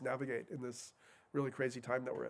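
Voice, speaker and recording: The speaker is a man with an American accent. His pitch is fairly high. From New York City. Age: 50s. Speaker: author and speaker on psychedelics. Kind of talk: public talk. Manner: fast; halting, with many repetitions and fillers.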